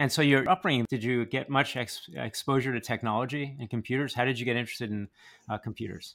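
The recording is very clean and the background silent. Delivery is very fast, and the pitch shows ordinary variation. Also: man, medium pitch for a man. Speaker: podcast host. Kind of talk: casual interview.

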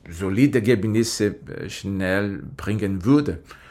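Speaking very slowly in a Portuguese accent, a man is heard on a very clean recording against a silent background. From Brazil. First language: Portuguese (speaking German). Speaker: IT specialist. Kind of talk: podcast interview.

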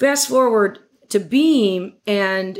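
A woman talks with lively intonation in a plain, everyday voice at medium pitch. The recording is very clean, with a silent background. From Western New York, Batavia. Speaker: marketing executive. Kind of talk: interview.

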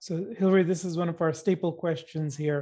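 A man speaks at a moderate pace. His tone is dark and mellow, and his intonation monotone and flat. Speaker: co-host and company CEO.

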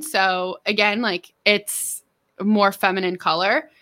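A woman with a medium pitch and a bright, sharp tone speaks at a fairly slow pace. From Central California (Merced). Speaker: digital marketing agency owner. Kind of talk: podcast interview. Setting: remote recording.

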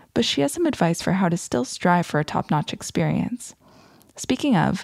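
A woman with an ordinary speaking voice talks at a fairly quick pace with lively intonation and medium pitch, in a very clean recording with a silent background and a dry, close sound with no echo. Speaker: podcast host. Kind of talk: scripted podcast intro and sponsor read.

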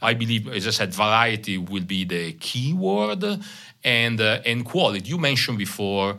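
A man's bright, sharp, fairly low voice with a slight Italian accent, at a moderate pace with ordinary pitch variation and audible room echo. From Italy, Bologna. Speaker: company CEO. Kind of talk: interview. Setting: conference room.

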